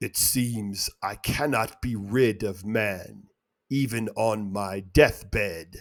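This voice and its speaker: Putting on a character voice, a man speaks at a very slow pace and a fairly low pitch in a very clean recording with a silent background. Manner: sighing.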